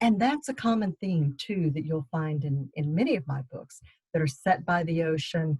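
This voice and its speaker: The voice is somewhat breathy, with lively intonation and a slight Texas accent. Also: woman, fairly low pitch for a woman, moderate pace, dry, close sound with no echo. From Texas, Austin. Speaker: novelist. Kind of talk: book club talk.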